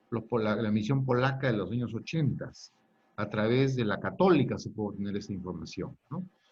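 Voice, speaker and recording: Somewhat breathy, a man talks at a moderate pace and medium pitch. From Peru, Lima. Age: 60s. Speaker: historian. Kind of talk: lecture. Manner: halting.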